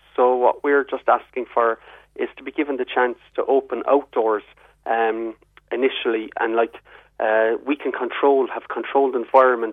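A man speaks in a southwest Irish accent at a moderate pace. His medium pitch stays in a monotone, flat intonation. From Ireland, southwest. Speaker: publicans' representative. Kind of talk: radio interview.

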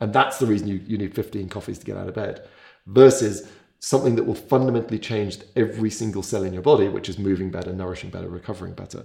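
A man's dark, mellow, somewhat breathy voice, fairly low in pitch with ordinary variation, at a very fast pace with big swings in loudness. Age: 40s. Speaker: physiologist. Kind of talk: casual interview.

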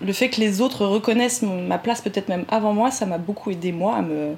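Noticeable background noise sits behind a woman's voice. She speaks at a medium pitch with ordinary pitch variation. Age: 30s. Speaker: naturopath. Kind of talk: interview conversation.

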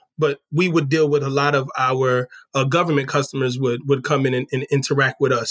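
With an American accent, a man with a fairly high pitch speaks in a monotone, flat way, the sound dry and close with no echo. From New Jersey. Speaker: retail store manager. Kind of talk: interview.

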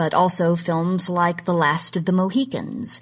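Speaking fairly slowly with an American accent, a woman's fairly low voice comes across as somewhat breathy. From Oklahoma. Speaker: genre history commentator. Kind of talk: scripted segment talk.

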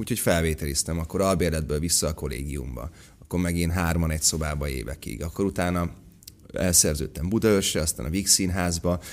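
With vocal fry and a very deep, low pitch, a man speaks at a fairly quick pace with ordinary pitch variation. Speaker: actor. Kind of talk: casual chat.

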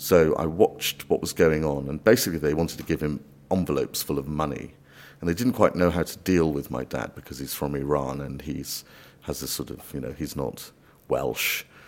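A man speaks with a very deep, low pitch and vocal fry. His pace is fairly quick, and his loudness swings widely. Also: ordinary pitch variation. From Wales. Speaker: immigration barrister. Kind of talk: interview.

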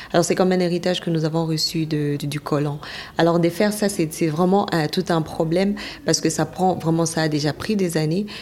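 Noticeable background noise accompanies a woman speaking with a fairly low pitch and fairly even intonation. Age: 20s. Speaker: journalist. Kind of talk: interview.

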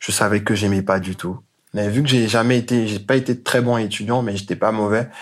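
A man talks with a medium pitch. His intonation is monotone and flat. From Côte d'Ivoire. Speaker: sneaker entrepreneur. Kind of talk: interview.

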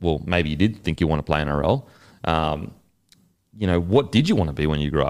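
In an Australian accent, a man speaks with a very deep, low pitch and ordinary pitch variation. His pace is fairly quick, broken by long, frequent pauses. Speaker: podcast interviewer, former athlete. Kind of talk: casual interview chat.

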